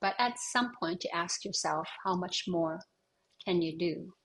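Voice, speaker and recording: The speaker is a woman with a fairly low pitch. Her voice is somewhat breathy. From Canadian Arctic, Inuk. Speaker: singer-songwriter. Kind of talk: interview answer. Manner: reflective, with hesitations.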